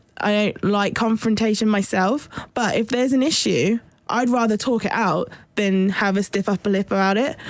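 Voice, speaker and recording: A woman with a British accent at medium pitch and a moderate pace, with fairly even intonation, very even loudness, and noticeable background noise. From Trinidad and US Air Force bases. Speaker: podcast co-host. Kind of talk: casual chat.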